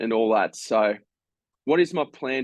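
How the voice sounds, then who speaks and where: The recording is dry and close with no echo, carrying a man with an Australian accent at a medium pitch with ordinary pitch variation. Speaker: fantasy football content creator. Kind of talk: casual tutorial. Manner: halting, many fillers.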